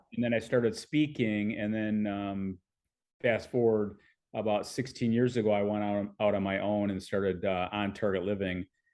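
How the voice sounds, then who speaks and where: With fairly low pitch and fairly even intonation, a man talks at a moderate pace in an unremarkable speaking voice. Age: 60s. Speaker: fitness author and speaker. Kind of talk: podcast interview.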